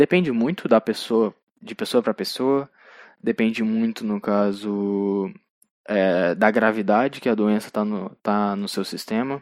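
Recorded very clean with a silent background and a dry, close sound with no echo, a man with an unremarkable speaking voice talks at a fairly slow pace with ordinary pitch variation. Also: fairly low pitch for a man. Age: 20s. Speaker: podcast host. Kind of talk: solo monologue film review.

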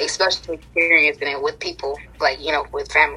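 Noticeable background noise behind a woman's American-accented voice. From US South. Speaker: interviewee. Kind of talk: casual interview. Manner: halting.

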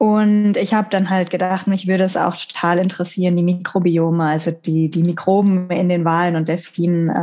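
With hardly any pauses and at a fairly quick pace, a woman speaks in a fairly low, dark, mellow voice, her intonation monotone and flat and her loudness very even. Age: 30s. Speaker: marine biologist. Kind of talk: casual interview.

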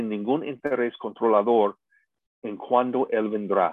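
A man with an English accent, medium pitch, ordinary pitch variation and a fairly slow pace. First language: English (speaking Spanish). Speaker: pastor and seminar teacher. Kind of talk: lecture.

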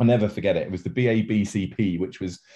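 A man with a southern English accent speaks at a fairly low pitch and a fairly quick pace. His voice is somewhat breathy, with fairly even intonation. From southern England (Portsmouth). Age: 40s. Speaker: events company founder and CEO. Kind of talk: interview.

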